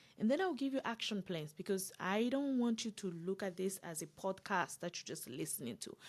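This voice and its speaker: A woman speaks at a medium pitch and a fairly quick pace, with lively intonation and hardly any pauses, on a very clean recording with a silent background. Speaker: career coach. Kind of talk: livestream masterclass. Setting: live stream on social media. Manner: fast talker.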